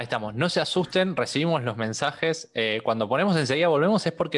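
A very fast-talking man with an Argentine accent and lively intonation. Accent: Argentine Spanish (Rioplatense). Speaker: podcast host. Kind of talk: casual chat.

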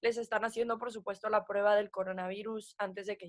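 Monotone, flat intonation at a very fast pace. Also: woman. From Mexico, Puebla. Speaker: sports TV presenter. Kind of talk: casual chat.

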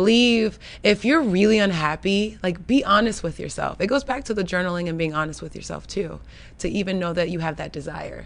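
A woman with an American accent speaks at a fairly quick pace and medium pitch, with vocal fry and ordinary pitch variation. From Florida. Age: 30s. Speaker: creative entrepreneur. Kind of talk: casual chat.

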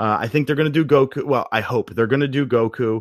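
In an ordinary speaking voice, a man talks at a fairly quick pace with ordinary pitch variation. The recording is very clean, with a silent background and a dry, close sound with no echo. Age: 30s. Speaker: video game commentator. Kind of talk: casual chat.

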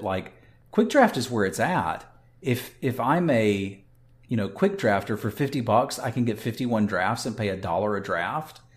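This man has an unremarkable speaking voice of medium pitch with ordinary pitch variation. He talks at a moderate pace. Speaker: podcast co-host and game streamer. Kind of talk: casual chat.

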